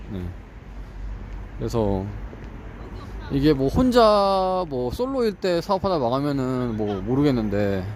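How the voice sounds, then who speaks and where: With very wide pitch swings, a man talks at a very slow pace. Long, frequent pauses break up his speech. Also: medium pitch for a man. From South Korea, Ulsan (Gyeongsang). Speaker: vlogger studying for exams. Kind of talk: casual vlog monologue. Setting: walking home. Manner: conversational, with fillers.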